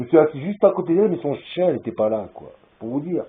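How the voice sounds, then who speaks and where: Very wide pitch swings from a man speaking at a fairly quick clip. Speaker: vlogger. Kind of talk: rambling video monologue. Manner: loud; halting.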